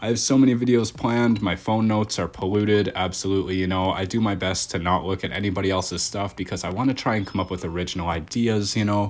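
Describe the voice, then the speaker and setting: With a Canadian Maritime accent, a man rattles along at a very fast pace with hardly any pauses. His pitch is fairly low and his intonation fairly even. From Nova Scotia, Canada. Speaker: gaming YouTuber. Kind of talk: gameplay commentary. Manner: casual, chatty.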